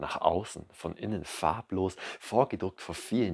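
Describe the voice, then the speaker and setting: A man talks at a fairly slow pace in a very clean recording with a silent background and a dry, close sound with no echo. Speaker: poet and podcast host. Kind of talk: poetry slam performance, spoken word. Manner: rhythmic, measured, emotive delivery; intimate, direct address to the listener.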